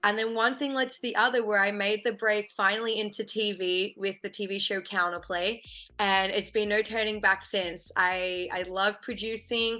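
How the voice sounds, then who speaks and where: A woman with an Australian accent speaks in a bright, sharp tone with fairly even intonation and hardly any pauses. The background is quiet. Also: medium pitch for a woman, moderate pace. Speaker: film and TV producer. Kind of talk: interview.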